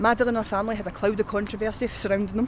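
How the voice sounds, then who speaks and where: Speaking very fast with a Scottish accent, a woman uses a fairly high pitch against noticeable background noise. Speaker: tour guide. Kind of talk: historical walking-tour narration to camera. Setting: outdoors.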